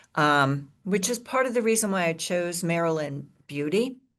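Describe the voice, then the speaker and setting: Against a quiet background, a woman with an ordinary speaking voice talks at a fairly slow pace and fairly low pitch. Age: 60s. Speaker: gardening instructor. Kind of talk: lecture. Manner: casual with filler words.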